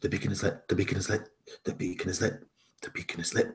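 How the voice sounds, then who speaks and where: A raspy, fairly low-pitched put-on character voice from a man at a very fast pace. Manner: repetitive, chattering teeth.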